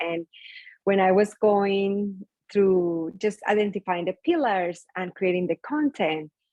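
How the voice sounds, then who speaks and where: Talking at a fairly slow pace, a woman with a medium pitch speaks with a strong Spanish accent. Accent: thick Spanish. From Colombia. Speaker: skincare business founder. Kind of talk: interview conversation.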